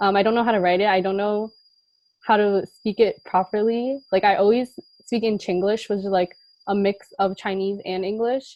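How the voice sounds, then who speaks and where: A woman with an American accent, an ordinary speaking voice, a medium pitch, and a moderate pace. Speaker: college student, club panelist. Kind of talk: panel discussion.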